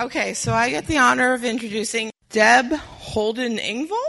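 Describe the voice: A woman at a fairly slow pace, fairly high in pitch, with a bright, sharp tone and vocal fry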